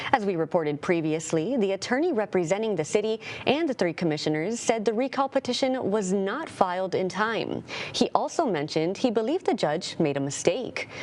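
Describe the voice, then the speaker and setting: Speaking at a fairly quick pace, a woman with a medium pitch makes very wide pitch swings against noticeable background noise. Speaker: news anchor. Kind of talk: TV news read.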